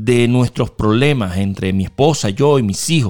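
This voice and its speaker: Over music in the background, a man with a Puerto Rican accent speaks at a medium pitch and a fairly slow pace, the sound dry and close with no echo. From western Puerto Rico, Mayagüez. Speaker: pastor. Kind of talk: testimony.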